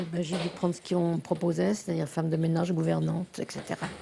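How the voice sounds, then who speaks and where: A woman's very deep, low voice with very wide pitch swings, amid noticeable background noise. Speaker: retiree. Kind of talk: interview. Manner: halting.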